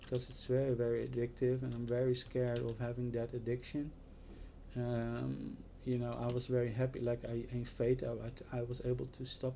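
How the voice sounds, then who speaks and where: A man speaks at a fairly quick pace with a Dutch accent, medium in pitch. His tone is dark and mellow, his intonation monotone and flat. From Netherlands. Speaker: vlogger. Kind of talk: casual monologue. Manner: halting.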